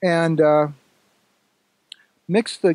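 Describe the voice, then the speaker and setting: At a fairly slow pace, the speech carries a dark, mellow tone. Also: man, dry, close sound with no echo. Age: 60s. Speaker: ormus researcher. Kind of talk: interview. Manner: halting.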